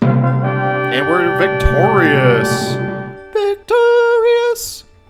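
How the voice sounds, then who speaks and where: A man speaks with music in the background. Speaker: gaming commentator. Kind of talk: casual let's play commentary. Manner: joking, rambling.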